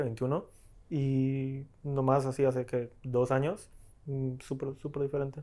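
A man talks at a fairly slow pace. His medium-pitched voice has a dark, mellow tone. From Colombia. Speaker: film editor, film school graduate; podcast guest. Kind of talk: casual chat. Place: home room. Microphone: lapel.

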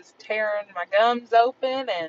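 A woman talks with ordinary pitch variation, the sound dry with no echo and light background noise. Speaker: vlogger. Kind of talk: casual vlog chat. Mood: relaxed, amused. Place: car. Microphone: phone near.

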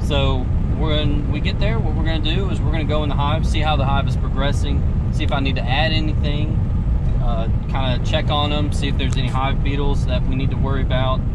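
A man talks at a very fast pace. Loud background noise sits under a dry sound with no echo. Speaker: beekeeping vlogger. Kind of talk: casual vlog chat. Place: car. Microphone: phone near.

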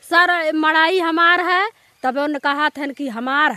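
A woman with a high pitch and lively intonation uses a raised, projected voice at a very slow pace, the sound dry with no echo. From Uttar Pradesh. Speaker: villager. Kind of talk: testimony. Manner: halting. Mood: aggrieved, pleading complaint. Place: open country. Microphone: handheld.

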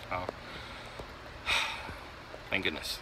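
A man's voice with noticeable background noise and a dry sound with no echo. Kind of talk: casual vlog chat. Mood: relieved, pleased. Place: open country. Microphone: phone near.

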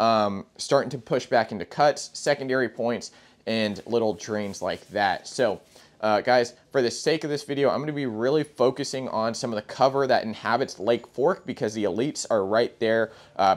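Speaking at a moderate pace, the man shows ordinary pitch variation. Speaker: presenter. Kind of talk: tutorial. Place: shop. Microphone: lapel.

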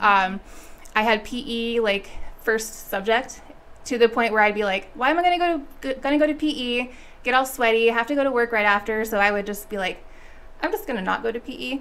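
Talking at a fairly quick pace, a woman with an American accent has a fairly high pitch and ordinary pitch variation. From Las Vegas, Nevada. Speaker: school board trustee. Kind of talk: interview. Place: studio. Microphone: studio mic.

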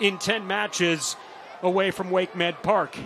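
A man's voice with noticeable background noise. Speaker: play-by-play commentator. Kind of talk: live sports commentary. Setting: broadcast booth.

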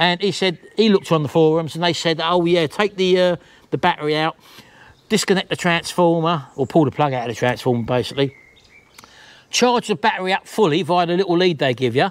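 A man speaks at a fairly quick pace. His intonation is lively. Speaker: vlogger. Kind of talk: casual vlog chat, rant. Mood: annoyed, ranting. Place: garden. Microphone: lapel.

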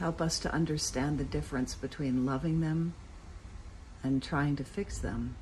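Over light background noise, a woman with a very deep, low pitch, a warm tone and vocal fry speaks at a very even loudness with fairly even intonation. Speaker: cathedral dean giving a morning devotional. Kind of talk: fervent spoken prayer, earnest and pleading, addressed to God. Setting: outdoors at a friend's house in the morning. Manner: earnest, warm and heartfelt, unhurried; pastoral, reflective, conversational in the reflection. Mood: calm, gentle, reflective.

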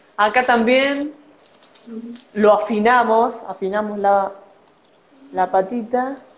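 A woman's very slow speech with long, frequent pauses, fairly even intonation and noticeable background noise. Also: fairly high pitch for a woman. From Argentina, Buenos Aires city. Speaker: origami artist. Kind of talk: origami tutorial. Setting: Instagram live video.

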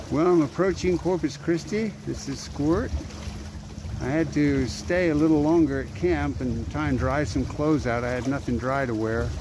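A man at a moderate pace with a dry sound with no echo and noticeable background noise. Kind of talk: casual vlog chat. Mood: happy, relaxed. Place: boat.

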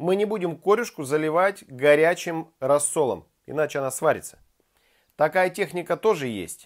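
This man's voice sits rather high for a male, moving at an even, middling speed with normal pitch movement, and nothing can be heard behind it. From Siberia, Krasnoyarsk. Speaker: chef, cooking video host. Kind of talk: cooking tutorial. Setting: home kitchen. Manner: casual, chatty. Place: kitchen.

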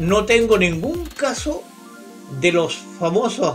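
A man's high-pitched voice with a Chilean accent and lively intonation, faint music in the background. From Concepción, Chile. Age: 80s+. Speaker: UFO researcher, retired police officer. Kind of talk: interview answer. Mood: calm, storytelling. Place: home room.

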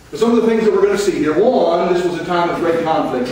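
A man speaks with lively intonation in a space with strong room echo and light background noise. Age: 50s. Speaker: missionary preacher, retired army veteran. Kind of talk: sermon. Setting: church. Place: church.

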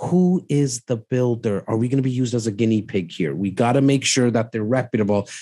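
Talking at a fairly quick pace with hardly any pauses, this dark, mellow voice keeps its loudness very even and its pitch variation ordinary over a quiet background. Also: man, medium pitch for a man. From Canada. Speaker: real estate investment advisor; podcast guest. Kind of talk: casual chat. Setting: livestream with viewer comments. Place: studio. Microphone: studio mic.

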